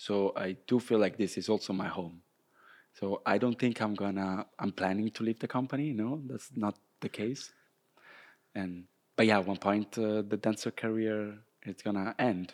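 In a very clean recording with a silent background, a man with a fairly low voice and an Italian accent speaks at a moderate pace with fairly even intonation. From Italy, Rome. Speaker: professional dancer. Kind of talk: casual interview. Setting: dance studio canteen, windows open, traffic noise.

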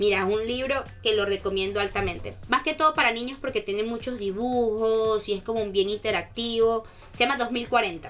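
A woman's fairly high voice at a moderate pace, with hardly any pauses and noticeable background noise. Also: ordinary pitch variation. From Venezuela, Caracas. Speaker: student ambassador. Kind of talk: casual radio interview. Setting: radio studio. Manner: animated.

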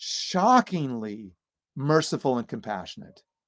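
A man with an American accent is heard in a dry, close sound with no echo, on a very clean recording with a silent background. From US Midwest (Illinois, Iowa). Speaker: seminary professor and author. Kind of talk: interview. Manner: halting, many fillers and repeats.

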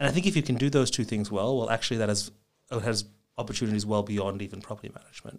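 A man's fairly low voice in an Australian accent, with fairly even intonation and a very fast pace. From Australia, Melbourne. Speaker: startup founder. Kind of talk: interview.

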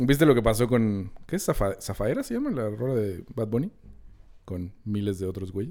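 Here a man speaks at a medium pitch with a dark, mellow tone. His pace is moderate and his pitch variation ordinary. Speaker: film podcast host. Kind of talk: casual chat.

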